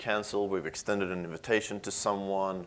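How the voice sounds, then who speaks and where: This man has a fairly low pitch and a slight Swedish accent, talking at a fairly quick pace with fairly even intonation. The recording is very clean, with a silent background. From Sweden. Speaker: software engineer. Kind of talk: conference talk. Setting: stage with audience.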